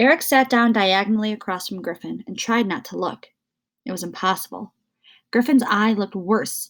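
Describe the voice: Someone reads aloud plainly, with only quiet in the background.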